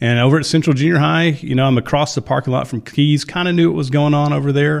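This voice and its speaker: Recorded very cleanly against a silent background, a normal speaking voice with an American accent moves at a fairly quick pace. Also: man. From Texas. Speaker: high school principal. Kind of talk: interview.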